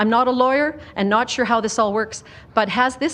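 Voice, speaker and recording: Using a plain, everyday voice, this speaker talks at a moderate pace with lively intonation in a Canadian accent. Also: woman. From Calgary, Canada. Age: 60s. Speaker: member of the public at a hearing. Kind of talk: public hearing testimony.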